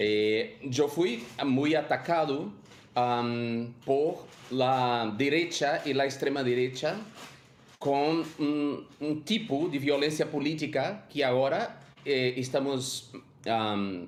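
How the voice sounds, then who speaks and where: In a Portuguese accent, a man speaks at a very slow pace with a fairly high pitch. His pitch variation is ordinary and his loudness very even. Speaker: former member of parliament, activist. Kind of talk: panel talk. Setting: video call.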